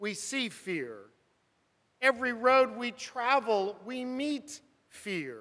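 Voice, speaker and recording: Raised and projected, a man's high-pitched voice with an American accent and a bright, sharp tone moves at a very slow pace. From US West, Burbank, California. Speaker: preacher. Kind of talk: sermon.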